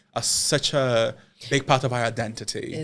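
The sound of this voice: Recorded very cleanly against a silent background, a man speaks at a medium pitch. His intonation is monotone and flat.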